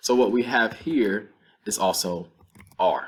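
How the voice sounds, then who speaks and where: A man talks with a Southern US accent. His pitch sits in the medium range and varies in an ordinary way. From North Carolina, US South. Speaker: Spanish teacher. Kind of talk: lecture.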